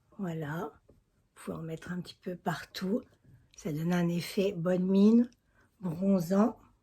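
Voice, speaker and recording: A dark, mellow, somewhat breathy voice at a fairly slow pace, with long, frequent pauses, fairly even intonation and big swings in loudness. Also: woman, medium pitch for a woman. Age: 60s. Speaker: beauty vlogger. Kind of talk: makeup tutorial. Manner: casual, chatty.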